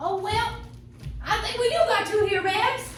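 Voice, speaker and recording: In a put-on character voice, a woman speaks squeaky and at an extremely high pitch at a moderate pace, with a slight echo and clear background noise. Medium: stage play. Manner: folksy, hesitant.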